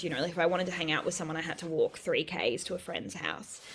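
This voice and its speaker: Fairly low-pitched female speech in an Australian accent. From rural New South Wales, Australia (Bellingen area). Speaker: writer and sex worker. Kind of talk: casual interview.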